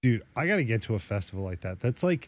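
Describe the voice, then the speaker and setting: A man speaks at a very fast pace in a fairly low pitch. His voice is somewhat breathy, and the recording is very clean with a silent background. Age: 40s. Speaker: podcast co-host. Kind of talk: casual chat.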